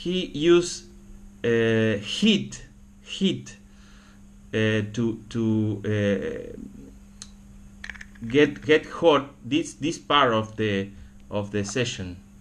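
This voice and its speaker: With a Spanish accent, a man of medium pitch speaks at a very slow pace with very wide pitch swings and long, frequent pauses, and the room echo is audible. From Argentina. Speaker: camera repair hobbyist. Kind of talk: tutorial. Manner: halting, many fillers and repetitions.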